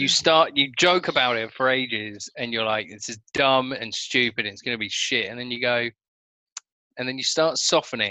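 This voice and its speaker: With an ordinary speaking voice, a man talks at a moderate pace and medium pitch, showing ordinary pitch variation and big swings in loudness. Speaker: podcast co-host. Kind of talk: casual chat, film review.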